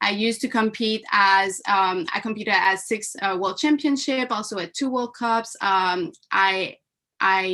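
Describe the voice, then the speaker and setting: A woman with a French Canadian accent speaks fairly slowly at a medium pitch, her tone bright and sharp, with ordinary pitch variation. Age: 20s. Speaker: mindset coach and former taekwondo athlete. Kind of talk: live online seminar. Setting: live stream.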